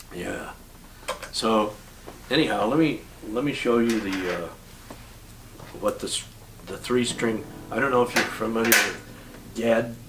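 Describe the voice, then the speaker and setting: Amid noticeable background noise and audible room echo, a man with medium pitch talks at a fairly slow pace with ordinary pitch variation and long, frequent pauses. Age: 80s+. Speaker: singer-songwriter. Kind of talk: casual interview with guitar demonstration. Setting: home bungalow. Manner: halting, many fillers.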